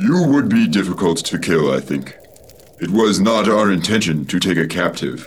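A man's put-on character voice, very deep and low, calm in tone and at a moderate pace. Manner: formal, calm, stiff phrasing.

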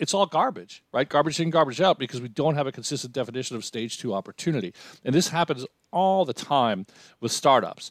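In an American accent, the speaker goes at a very fast pace with lively intonation, in a dry, close sound with no echo and a very clean recording over a silent background. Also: man. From US Northeast, New York. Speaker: executive in residence at a venture firm, former CEO, author. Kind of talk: interview.

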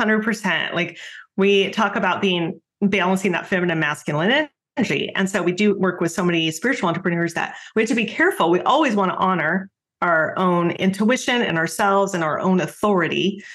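Ordinary pitch variation and very even loudness mark this fairly quick delivery in a normal speaking voice. The recording is very clean, with a silent background. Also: woman, medium pitch for a woman. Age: 50s. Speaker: business coach. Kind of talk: casual interview.

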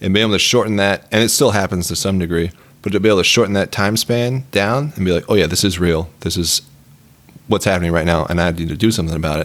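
This man speaks at a very fast pace, his pitch very deep and low. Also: ordinary pitch variation. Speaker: military service member. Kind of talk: casual chat.

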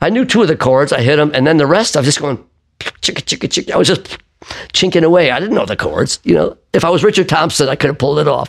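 Very fast and animated, a man talks with lively intonation at a fairly high pitch. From Buffalo, New York, US. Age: 70s. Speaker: singer-songwriter. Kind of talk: casual interview chat. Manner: animated storytelling.

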